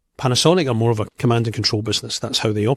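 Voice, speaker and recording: The man's voice sits at a medium pitch and comes out somewhat breathy at a very fast pace. The sound is dry and close with no echo, on a very clean recording with a silent background. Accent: Scottish. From Scotland. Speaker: company executive. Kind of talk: interview.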